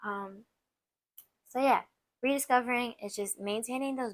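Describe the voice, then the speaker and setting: A woman's voice at a moderate pace with ordinary pitch variation. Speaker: relationship podcast host. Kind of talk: casual solo podcast talk. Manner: hesitant, many fillers and restarts.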